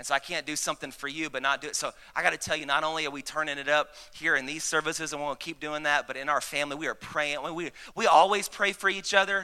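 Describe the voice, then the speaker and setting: On a very clean recording with a silent background, a man with a Southern US accent talks at a very fast pace in a fairly high pitch with a bright, sharp tone. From US South. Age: 30s. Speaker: pastor. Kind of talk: Sunday sermon, a preacher in full flow rallying the congregation to shout back. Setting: church with live congregation. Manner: rapid, repetitive and stumbling with excitement, restarting phrases.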